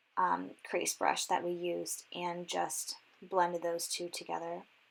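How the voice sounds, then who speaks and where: A woman speaks at a fairly low pitch and a moderate pace. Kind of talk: casual makeup tutorial talk to camera. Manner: casual, many filler words.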